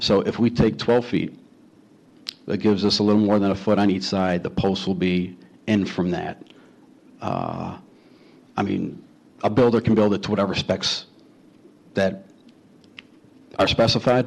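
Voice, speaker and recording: With a Chicago accent, a man talks at a moderate pace in a fairly low pitch. His intonation is fairly even, broken by long, frequent pauses. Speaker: homeowner applicant at city board hearing. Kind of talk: public hearing testimony.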